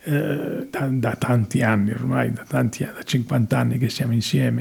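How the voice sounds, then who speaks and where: Somewhat breathy and dark and mellow in tone, a man speaks at a fairly slow pace with lively intonation. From Italy. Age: 80s+. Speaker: actor and theatre director. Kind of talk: interview. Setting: studio. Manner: halting.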